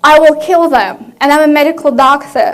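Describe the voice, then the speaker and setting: With a Russian accent, the speaker talks at a moderate pace over noticeable background noise. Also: woman. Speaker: physician, conference speaker. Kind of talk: conference talk.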